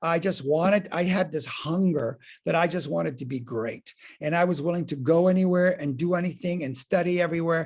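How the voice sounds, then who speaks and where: This man has a high voice and an animated tone. His pitch variation is ordinary and his pace is moderate. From outside the US, non-English-speaking country. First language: not English. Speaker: acting and life coach. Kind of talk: podcast interview.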